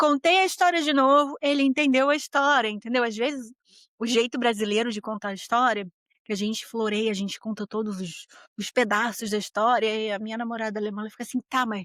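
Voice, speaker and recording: A woman speaks at a fairly high pitch in an animated tone, with ordinary pitch variation. The recording is very clean, with a silent background and a dry, close sound that has no echo. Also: fairly quick pace. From Brazil. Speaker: podcast host. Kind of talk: casual monologue podcast.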